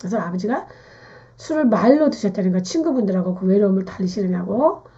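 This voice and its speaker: A woman's somewhat breathy voice has a dark, mellow tone. Her pitch swings very widely. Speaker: naming and fortune-telling teacher. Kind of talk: lecture.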